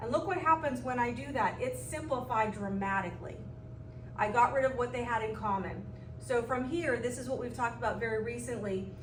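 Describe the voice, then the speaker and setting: The speech goes at a fairly quick pace. Noticeable background noise and audible room echo come through. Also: woman. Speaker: math teacher. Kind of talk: recorded lesson. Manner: fast.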